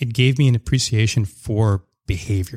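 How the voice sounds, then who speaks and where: Speaking with a Canadian accent, a man uses a fairly low pitch and a somewhat breathy voice, recorded with a dry, close sound with no echo on a very clean track with a silent background. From Canada, Surrey near Vancouver. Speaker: portfolio manager. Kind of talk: podcast interview.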